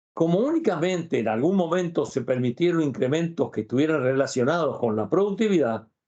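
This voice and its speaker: With hardly any pauses, a man talks at a fairly quick pace in a fairly high voice with a dark, mellow tone and lively intonation. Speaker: labor law expert. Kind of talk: interview.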